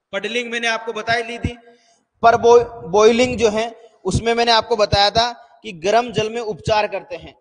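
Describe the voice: This man talks in an extremely high voice that moves very little in pitch. His pace is moderate.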